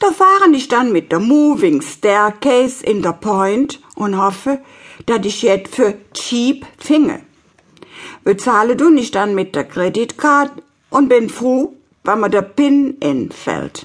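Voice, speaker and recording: A woman with a Cologne accent speaks at a very slow pace in a high pitch, her voice making very wide pitch swings. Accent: Kölsch dialect (Cologne). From Cologne, Germany. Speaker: dialect author reading her stories. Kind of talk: audiobook reading.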